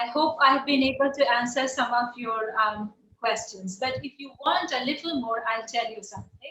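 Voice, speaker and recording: Woman's high voice in an Indian accent, fairly slow, with ordinary pitch variation. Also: big swings in loudness. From India, Bihar. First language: Bihari dialect, Hindi. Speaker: poet and writer. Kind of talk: interview.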